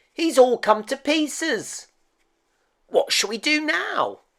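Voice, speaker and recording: Put-on character voice from a man, raised and projected, extremely high in pitch, at a fairly slow pace. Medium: read story. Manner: ponderous, agreeable.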